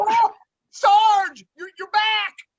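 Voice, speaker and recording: Someone uses a put-on character voice at an extremely high pitch with monotone, flat intonation. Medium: stage play. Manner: eager, stammering when flustered.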